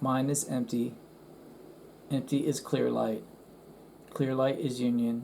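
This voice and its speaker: Medium in pitch, a man speaks with a dark, mellow tone and fairly even intonation. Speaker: online course reviewer and meditation practitioner. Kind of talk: screen-share review. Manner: halting, with fillers and restarts.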